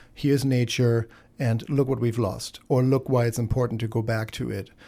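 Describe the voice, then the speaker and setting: This voice has a German accent, a dark, mellow tone, and monotone, flat intonation at a moderate pace. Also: man. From Germany. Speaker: radio host. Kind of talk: radio talk show. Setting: studio.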